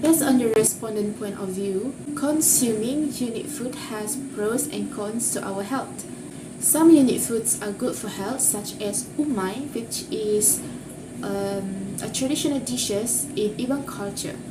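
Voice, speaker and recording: Over noticeable background noise and audible room echo, a woman with a non-native accent talks at a fairly slow pace, her pitch fairly high with ordinary pitch variation. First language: not English. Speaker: university student. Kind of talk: class presentation.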